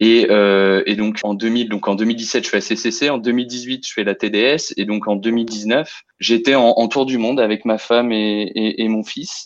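A man at a very slow pace, fairly even intonation and hardly any pauses. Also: medium pitch for a man. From Lyon region, France. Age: 30s. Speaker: amateur trail runner. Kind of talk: interview, personal race story. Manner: hesitant, many fillers and repetitions.

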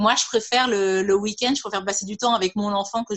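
Her pitch sits in the medium range. The woman talks at a very fast pace. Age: 30s. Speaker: illustrator and mother. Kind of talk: interview. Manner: halting, many fillers.

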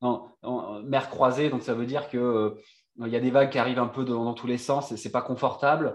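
Monotone, flat intonation at a moderate pace. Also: man. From Réunion and Brittany, France. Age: 30s. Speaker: sailor and former marine commando. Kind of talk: casual interview chat.

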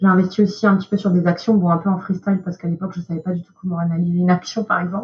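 A very fast, somewhat breathy woman's voice at medium pitch, with flat, monotone intonation. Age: 20s. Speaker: investment professional at a brokerage. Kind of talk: podcast interview.

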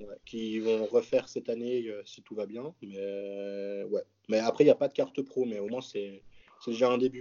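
Speaking slowly-ish at a fairly slow pace, a man with an ordinary speaking voice keeps a medium pitch and fairly even intonation while his loudness swings widely. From French-speaking Switzerland, near Geneva. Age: 20s. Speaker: professional bodybuilder. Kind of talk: casual chat.

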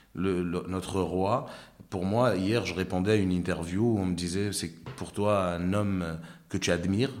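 A man talks with a very deep, low pitch and fairly even intonation at a fairly slow pace. Audible room echo is present. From Morocco and Ivory Coast. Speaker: comedian. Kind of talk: interview chat.

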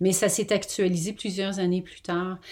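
A woman's fairly low voice stays monotone, flat in intonation, at a moderate pace. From Quebec. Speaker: novelist. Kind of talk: interview. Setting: remote call.

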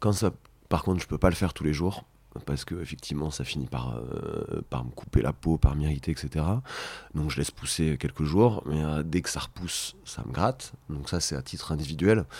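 A very deep, low male voice with vocal fry, ordinary pitch variation and a moderate pace, on a very clean recording with a silent background. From Brittany, Rennes. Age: 30s. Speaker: podcast guest, father of three. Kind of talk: intimate interview conversation. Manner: halting, frequent repetitions.

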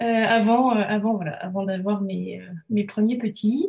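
A woman speaks at a very slow pace. Her pitch is fairly high, with fairly even intonation. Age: 30s. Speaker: illustrator and entrepreneur. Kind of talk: interview conversation. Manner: hesitant, many fillers.

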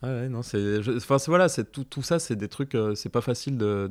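A man talks at a moderate pace with ordinary pitch variation. The recording is very clean and dry, close with no echo, over a silent background. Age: 40s. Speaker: father and artist. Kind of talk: casual chat. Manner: halting, many fillers and repetitions.

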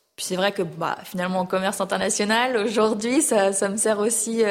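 A woman talks at a moderate pace with fairly even intonation in an ordinary speaking voice. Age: 30s. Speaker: show jumping rider. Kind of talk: interview. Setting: on location at a stable.

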